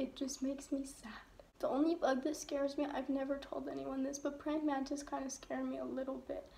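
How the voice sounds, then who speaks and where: A woman's high-pitched, monotone voice with flat intonation, at a fairly quick pace. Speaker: vlogger. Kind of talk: casual vlog chat. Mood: humorous, slightly anxious. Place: home room. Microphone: phone near.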